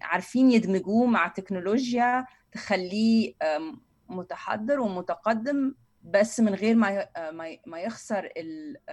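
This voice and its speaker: A woman with a fairly high pitch and a somewhat breathy voice speaks at a very slow pace, her loudness swinging widely while her pitch varies in an ordinary way. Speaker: university lecturer and food heritage advocate. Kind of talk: casual interview. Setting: online remote recording.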